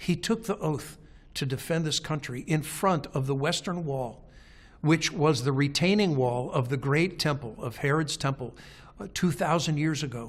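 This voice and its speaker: A man speaks at a fairly high pitch with ordinary pitch variation and a somewhat breathy sound. The recording is very clean, with a silent background. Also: moderate pace. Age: 60s. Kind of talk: documentary interview. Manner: halting, many repeated words.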